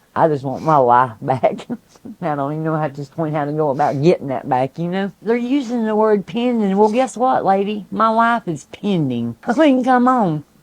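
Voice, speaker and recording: With a Southern Appalachian accent, a woman talks at a fairly low pitch and a moderate pace, her pitch swinging very widely. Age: 60s. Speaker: hurricane survivor. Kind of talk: interview testimony. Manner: animated.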